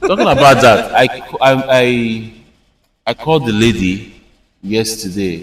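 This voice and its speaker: In a Nigerian accent with ordinary pitch variation, the speaker moves at a fairly slow pace with long, frequent pauses amid audible room echo. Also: man, medium pitch for a man. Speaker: content creator. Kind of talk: casual chat.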